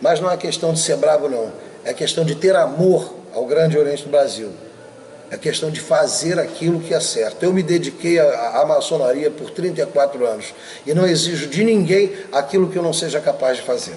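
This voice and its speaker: A man speaks in a high voice at a moderate pace, with ordinary pitch variation. Noticeable background noise runs under the recording. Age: 60s. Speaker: masonic grand master. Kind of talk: interview. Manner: emphatic.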